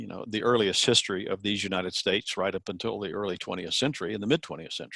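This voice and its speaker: In an American accent, a man speaks at a fairly low pitch, the sound dry and close with no echo. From US South, South Carolina. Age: 60s. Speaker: education commentator. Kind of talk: interview. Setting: video call. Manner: hesitant, many fillers.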